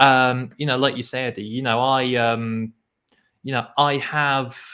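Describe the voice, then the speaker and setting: A man with an English Midlands accent speaks at a fairly slow pace in a monotone, flat intonation. His tone is bright and sharp, and the recording is very clean with a silent background. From England (Nottingham). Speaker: poetry show co-host. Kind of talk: casual chat.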